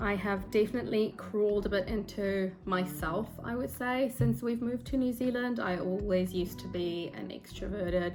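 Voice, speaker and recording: Music plays in the background while the speaker goes at a moderate pace with hardly any pauses. The intonation is lively. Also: woman, medium pitch for a woman. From South Africa. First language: Afrikaans. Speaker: book vlogger. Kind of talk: casual vlog talk to camera. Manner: hesitant, with ums and self-corrections.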